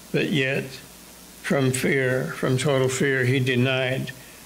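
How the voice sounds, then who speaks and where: A man with an American accent speaks at a very slow pace. Light background noise can be heard. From United States. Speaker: preacher. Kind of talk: sermon. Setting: church. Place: church. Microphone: podium.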